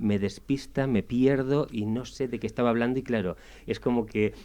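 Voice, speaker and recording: A man's medium-pitched, dark and mellow voice at a moderate pace, with a Spanish accent. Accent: Spanish (Spain). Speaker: radio columnist. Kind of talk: radio interview discussion.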